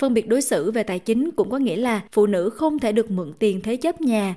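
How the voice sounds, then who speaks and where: A woman with a fairly high pitch and a dark, mellow tone speaks at a moderate pace with lively intonation, on a very clean recording with a silent background. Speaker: podcast narrator. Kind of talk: documentary narration.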